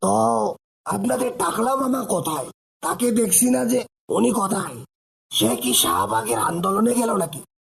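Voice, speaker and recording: At a moderate pace, a man puts on a cartoonish character voice, high in pitch with very wide pitch swings and very even loudness. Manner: melodramatic, sardonic.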